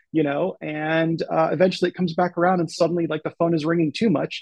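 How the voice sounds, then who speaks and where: In a dry, close sound with no echo, a man speaks in a normal speaking voice. His pitch is fairly high and his pace fairly quick. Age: 40s. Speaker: novelist and creative writing professor. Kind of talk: casual interview chat.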